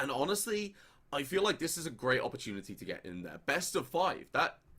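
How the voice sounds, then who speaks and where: Talking at a very fast pace, a man with an English accent uses a high pitch and lively intonation. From England. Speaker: esports caster. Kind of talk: live commentary.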